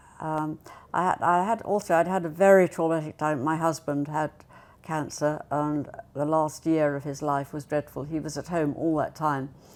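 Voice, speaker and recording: Speaking with a southern English accent, a woman has a very deep, low pitch and fairly even intonation. Her moderate pace comes through on a very clean recording with a silent background. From Buckinghamshire, England. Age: 80s+. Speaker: retirement home resident. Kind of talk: casual interview chat.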